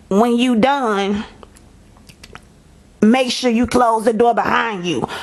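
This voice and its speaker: A woman performs a put-on character voice, raspy and fairly high in pitch. She talks at a fairly slow pace. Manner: curt, commanding.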